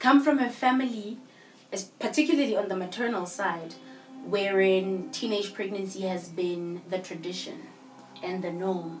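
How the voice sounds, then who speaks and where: A woman with a South African accent at a moderate pace, lively intonation, audible room echo and music in the background. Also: medium pitch for a woman. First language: Sepedi. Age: young. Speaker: guest. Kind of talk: casual interview, personal story. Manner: loud; code-switching between English and Sepedi.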